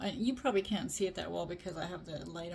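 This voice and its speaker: Over light background noise, a woman speaks with vocal fry. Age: 50s. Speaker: beauty product reviewer. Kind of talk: casual product review to camera. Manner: casual, hesitant with fillers. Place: home room.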